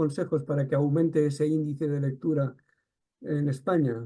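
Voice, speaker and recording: This man has a dark, mellow tone and a fairly high pitch. He speaks in a Catalan accent. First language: Catalan (speaking Spanish). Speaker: interviewer. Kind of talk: interview.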